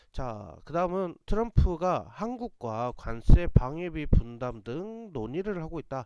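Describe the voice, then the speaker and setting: Speaking at a very slow pace with hardly any pauses, a man with a fairly high pitch and a dark, mellow tone makes very wide pitch swings and big swings in loudness. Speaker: stock market commentator. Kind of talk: market commentary broadcast.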